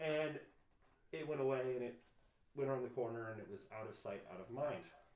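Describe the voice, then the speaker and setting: A man's voice carries audible echo from the room. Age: 30s. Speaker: podcast co-host. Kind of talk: casual chat. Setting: at home.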